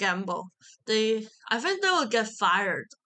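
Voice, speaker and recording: Her pitch is fairly high and her tone bright and sharp. The woman speaks at a fairly slow pace. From Macau. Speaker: university student. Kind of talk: casual chat. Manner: halting.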